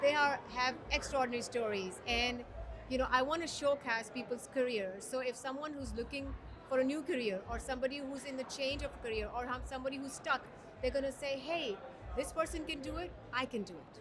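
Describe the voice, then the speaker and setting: Someone with an American accent talks at a fairly quick pace with ordinary pitch variation amid noticeable background noise. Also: woman, high pitch for a woman. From Dubai. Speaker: podcaster and HR professional. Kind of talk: casual interview.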